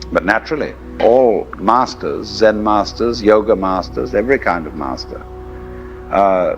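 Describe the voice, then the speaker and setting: A man talks at a fairly slow pace. Music plays behind him. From England. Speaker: philosopher, lecturer. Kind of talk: philosophical lecture.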